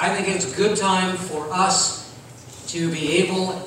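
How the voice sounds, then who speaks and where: Amid strong room echo and light background noise, a man speaks in a monotone, flat intonation. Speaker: pastor. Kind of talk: sermon. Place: church. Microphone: camera far.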